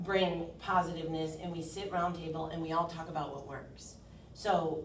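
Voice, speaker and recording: Over noticeable background noise and audible room echo, a woman with a fairly low pitch speaks at a moderate pace in a monotone, flat intonation with big swings in loudness. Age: 40s. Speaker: insurance agent. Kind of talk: workshop presentation. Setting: meeting room, round table.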